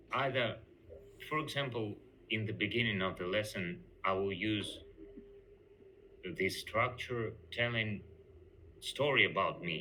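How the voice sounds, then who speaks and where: In a non-native accent, a man talks at a fairly slow pace and a fairly low pitch, with ordinary pitch variation and long, frequent pauses. His tone is bright and sharp, and the room echo is audible. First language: not English. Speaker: job applicant, English teacher. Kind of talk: job interview. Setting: video call. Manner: halting.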